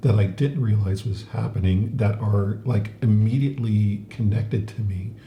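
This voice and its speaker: The pitch varies in an ordinary way. There is audible room echo and noticeable background noise. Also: man. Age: 70s. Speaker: podcast co-host. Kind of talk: casual chat. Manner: halting, many fillers.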